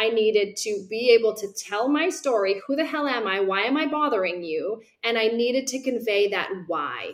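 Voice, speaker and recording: The speaker has a normal speaking voice at a moderate pace. There are hardly any pauses. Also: woman, fairly high pitch for a woman, lively intonation. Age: 40s. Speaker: career coach and author. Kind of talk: interview.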